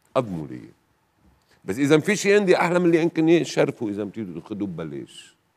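Loudness swings a lot and the pitch swings very widely. The pace is fairly quick. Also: man. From northern Lebanon. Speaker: TV guest. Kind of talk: testimony. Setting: studio. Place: studio. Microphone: lapel.

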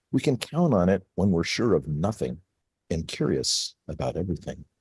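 A man talks at a moderate pace in a fairly low, dark, mellow voice with vocal fry and very wide pitch swings. The sound is dry with no echo, over a quiet background. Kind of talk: reading aloud a poem, then casual talk. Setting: video call. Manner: passionate. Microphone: video call.

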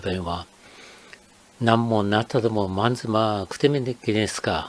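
A man talks at a moderate pace, his medium-pitched voice keeping fairly even intonation. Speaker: dialect explainer. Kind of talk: educational narration.

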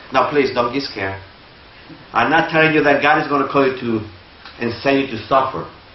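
Audible room echo surrounds the voice of this male speaker. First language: Spanish. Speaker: lay preacher. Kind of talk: sermon. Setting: church. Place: church.

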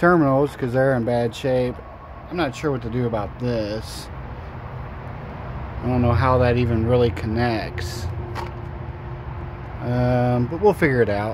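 A man talks at a fairly slow pace with long, frequent pauses and ordinary pitch variation, in a dry sound with no echo and noticeable background noise. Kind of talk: casual vlog chat. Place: garage. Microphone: phone near.

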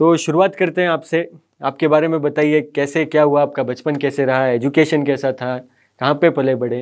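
A man speaks at a fairly high pitch with fairly even intonation. The background is quiet. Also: fairly slow pace. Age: young. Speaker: interviewer. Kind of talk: interview. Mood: polite, respectful. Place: studio.

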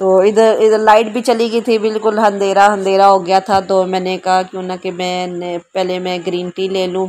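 Speaking at a medium pitch with few pauses, a woman keeps a slightly mellow tone and a monotone, flat intonation. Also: moderate pace.

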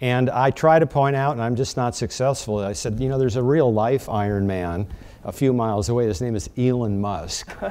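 A man at a fairly quick pace, medium in pitch with ordinary pitch variation. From US Midwest, North Dakota. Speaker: panel moderator. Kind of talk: moderated panel discussion. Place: meeting room. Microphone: lapel.

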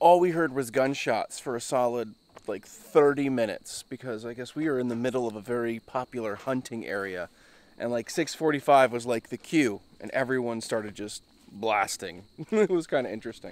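The sound is dry with no echo. Delivery comes at a moderate pace with ordinary pitch variation. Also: man. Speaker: overland travel vlogger. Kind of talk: casual vlog chat. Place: forest. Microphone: phone near.

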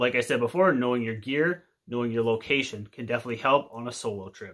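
Over a quiet background, a man with a Canadian accent rattles along at a very fast pace with ordinary pitch variation. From Canada. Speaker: outdoor video creator. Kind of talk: casual tutorial to camera. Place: home room. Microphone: phone near.

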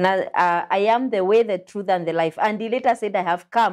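The speech comes at a moderate pace with ordinary pitch variation against a quiet background. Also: woman. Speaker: pastor and show host. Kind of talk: religious teaching discussion. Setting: studio. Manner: animated. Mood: warm, smiling, welcoming. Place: studio. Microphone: lapel.

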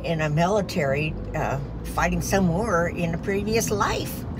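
A woman speaks at a fairly slow pace with ordinary pitch variation while music plays in the background. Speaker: vlogger. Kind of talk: casual vlog chat. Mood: proud, cheerful. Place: car. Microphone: phone near.

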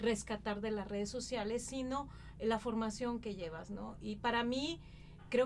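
Fairly even intonation at a moderate pace, with light background noise. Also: woman. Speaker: television journalist, presenter, interview guest. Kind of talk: interview answer. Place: studio.

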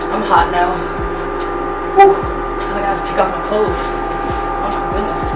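A woman talks rather slowly while music plays behind her. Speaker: vlogger. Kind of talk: casual vlog chat. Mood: excited, reacting to heat. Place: home room. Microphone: camera far.

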